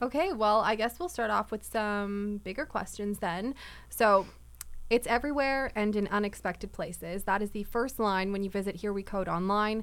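A woman with a Canadian accent has an unremarkable speaking voice, medium in pitch with ordinary pitch variation. She talks at a moderate pace in a very clean recording with a silent background. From Winnipeg, Canada. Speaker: podcast co-host. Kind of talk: casual interview.

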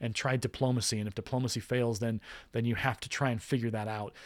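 Speaking at a fairly quick pace and medium pitch, a man is heard on a very clean recording with a silent background. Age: 40s. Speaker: podcast host. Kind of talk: solo podcast monologue. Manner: animated.

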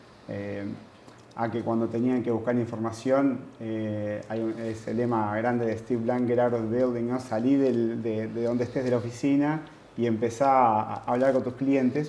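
A man with a Uruguayan accent speaks at a moderate pace and medium pitch with fairly even intonation, amid audible room echo. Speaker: university lecturer and project manager. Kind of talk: interview.

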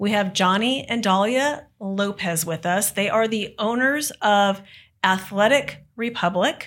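A woman with an unremarkable speaking voice talks at medium pitch and a fairly slow pace. Her pitch variation is ordinary, and the recording is very clean with a silent background. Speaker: podcast host, franchise consultant. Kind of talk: podcast interview.

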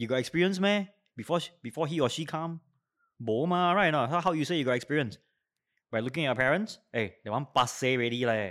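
In a very clean recording with a silent background, a man with a Singaporean accent talks very fast at a fairly high pitch with lively intonation. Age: 40s. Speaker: educator. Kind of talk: interview.

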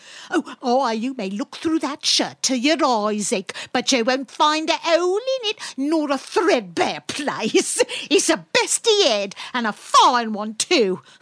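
Here a woman uses a put-on character voice, pitched high. Her pitch swings very widely at a fairly slow pace. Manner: brazen, defiant, mercenary.

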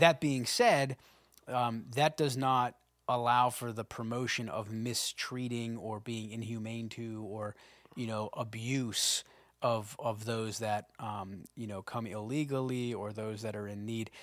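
A man speaks at a fairly slow pace in an ordinary speaking voice, medium in pitch, with fairly even intonation on a very clean recording with a silent background. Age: 40s. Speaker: pastor. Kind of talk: casual chat.

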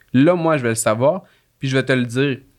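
Here a man speaks with a Quebec accent and ordinary pitch variation. The recording is very clean, with a silent background. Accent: Québécois French. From Quebec, Laurentides. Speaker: court clerk, union youth committee member. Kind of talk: casual chat. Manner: halting.

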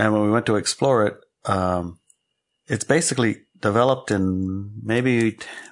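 Against a quiet background, a man in an American accent talks at a medium pitch with ordinary pitch variation. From Alaska. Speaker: podcast co-host. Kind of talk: casual chat. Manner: animated.

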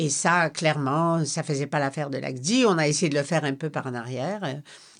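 A woman's very deep, low voice in a Polish accent, with ordinary pitch variation, a moderate pace, and a quiet background. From Poland, then Quebec. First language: Polish (speaking French). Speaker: retired foreign correspondent. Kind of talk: interview. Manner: hesitant, with repetitions.

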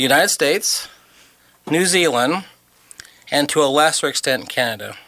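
A man with an ordinary speaking voice, fairly high pitch, ordinary pitch variation and a moderate pace. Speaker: radio host. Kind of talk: casual radio chat. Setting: radio studio.

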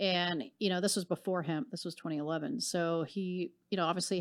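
A woman's unremarkable speaking voice, fairly low-pitched, at a fairly quick pace with ordinary pitch variation, on a very clean recording with a silent background. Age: 40s. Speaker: marketing director. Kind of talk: interview.

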